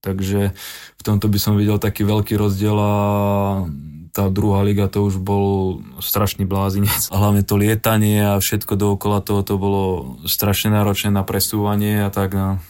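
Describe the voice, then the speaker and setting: A man talks with a fairly low pitch. His intonation is monotone and flat, and his loudness is very even. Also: moderate pace. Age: 30s. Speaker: footballer. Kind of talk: casual chat.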